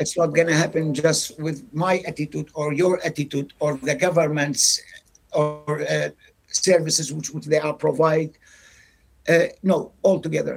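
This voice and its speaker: Vocal fry with monotone, flat intonation at a fairly slow pace. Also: man, fairly high pitch for a man. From Iraq. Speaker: recruitment agency manager. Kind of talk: interview. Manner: halting, repetitive.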